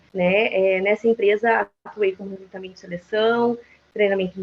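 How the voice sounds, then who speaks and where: In a monotone, flat delivery, a woman speaks at a medium pitch. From Brazil, Mato Grosso do Sul (Dourados). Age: 20s. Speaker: psychologist, HR business partner. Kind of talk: panel talk, self-introduction. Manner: hesitant, many fillers.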